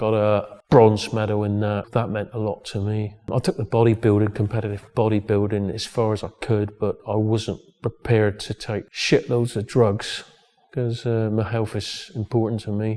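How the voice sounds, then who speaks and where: A man with a West Country accent, fairly low-pitched, flat and monotone in intonation, at a moderate pace. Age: 60s. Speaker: gym owner and strongman. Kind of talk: documentary interview. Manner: halting.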